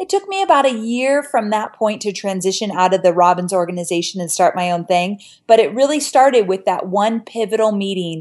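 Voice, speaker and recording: An ordinary speaking voice is heard with ordinary pitch variation. The background is quiet. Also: woman. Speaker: online marketing expert and course creator. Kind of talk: interview, explanatory teaching.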